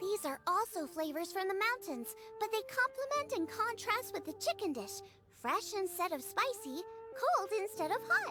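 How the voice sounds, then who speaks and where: Over clear music in the background, a woman uses a put-on character voice with an extremely high pitch, speaking at a moderate pace. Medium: video game. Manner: lively, explanatory.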